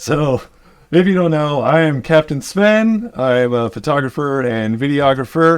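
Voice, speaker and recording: A plain, everyday voice at a moderate pace with lively intonation. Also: man, fairly high pitch for a man. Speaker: photographer and videographer, channel owner. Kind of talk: casual chat.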